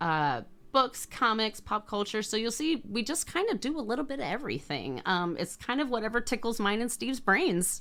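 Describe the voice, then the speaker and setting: A woman's fairly high, animated voice with vocal fry, very wide pitch swings and a fairly quick pace, in a very clean recording over a silent background. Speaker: crafter and online shop co-owner. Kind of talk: casual product walkthrough video. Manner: chatty, animated.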